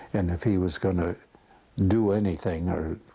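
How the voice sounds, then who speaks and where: A man's very deep, low voice sounds somewhat breathy, with a dark, mellow tone. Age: 80s+. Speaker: war veteran. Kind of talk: interview answer.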